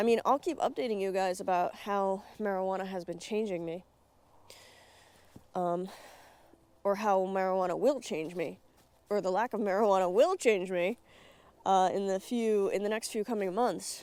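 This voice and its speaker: A woman of medium pitch, fairly even in intonation, with long, frequent pauses. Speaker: YouTube vlogger. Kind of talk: unscripted vlog monologue. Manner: fast.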